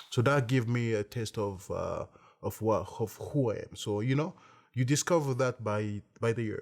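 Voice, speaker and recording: Speaking with an African accent, a man keeps a medium pitch and a moderate pace with ordinary pitch variation. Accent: African French-speaker accent in English. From Congo. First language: French. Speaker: entrepreneur, beverage company CEO. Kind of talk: interview monologue. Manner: halting, many fillers and repetitions.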